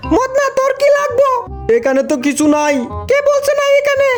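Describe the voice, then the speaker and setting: Putting on a character voice, a woman speaks at an extremely high pitch and moderate pace with very even loudness, against clear background noise. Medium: fan dub. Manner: scolding, colloquial dialect.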